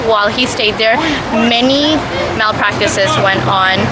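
Loud background noise behind a woman at a moderate pace, with ordinary pitch variation. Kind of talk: interview answer. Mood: upset, earnest. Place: street. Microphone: phone near.

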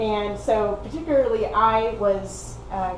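A woman with an Oklahoma accent, noticeable background noise behind her. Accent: American, Oklahoma. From Oklahoma, US. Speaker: PhD researcher in herpetology; speaker. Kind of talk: lecture; Q&A answers. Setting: seminar with audience. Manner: hesitant, many fillers. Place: meeting room. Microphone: camera far.

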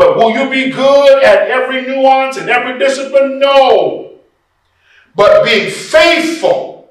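An extremely high-pitched man speaks with ordinary pitch variation against a quiet background, though the room echo is audible. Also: fairly slow pace. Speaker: preacher and workshop presenter on preaching. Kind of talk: workshop lecture to an audience of preachers. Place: church.

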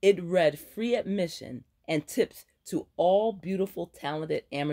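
Against a quiet background, the speaker is doing plain reading aloud.

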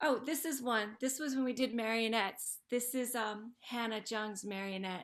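All is quiet in the background. Words arrive at a moderate pace. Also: woman, ordinary pitch variation, hardly any pauses. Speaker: ceramics teacher. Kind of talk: presentation. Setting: video call. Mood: warm, proud, chatty.

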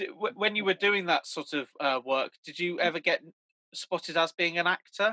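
A man with a British accent speaks at a moderate pace against a quiet background. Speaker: fan event host; interviewer, fan event host. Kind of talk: casual interview. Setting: video call. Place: home room. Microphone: video call.

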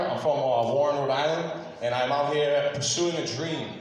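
A man speaks at a very fast pace with ordinary pitch variation. Strong room echo and light background noise surround his voice. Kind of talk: stage introduction. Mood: nervous but upbeat. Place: hall.

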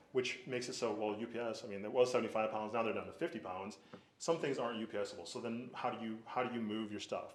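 A man is speaking. The pace is very fast. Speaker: business owner applying for a permit. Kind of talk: public hearing presentation.

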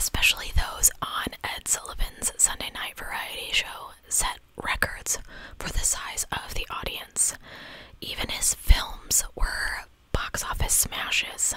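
A soft-spoken woman whispers at a very slow pace. Her loudness swings widely, and the sound is dry with no echo. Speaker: streamer or storyteller. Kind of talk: reading a history narration. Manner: soft close-mic ASMR whisper. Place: home room. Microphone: studio mic.

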